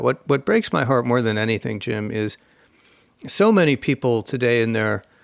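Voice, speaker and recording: A man with an American accent speaks in an unremarkable speaking voice at a medium pitch and moderate pace, the sound dry and close with no echo. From United States. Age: 60s. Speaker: author and think-tank scholar. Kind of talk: podcast interview.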